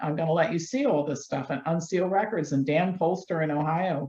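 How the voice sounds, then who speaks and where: A woman with a fairly low pitch uses a normal speaking voice at a fairly quick pace. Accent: American. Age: 60s. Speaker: health doctor and activist. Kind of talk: interview. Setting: studio.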